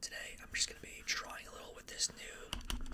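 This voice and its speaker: Over noticeable background noise, the words are whispered at a medium rate. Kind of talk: ASMR whispered ramble while drawing, casual talk to camera. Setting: close-mic studio/room recording with drawing sounds. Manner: whispered, soft-spoken.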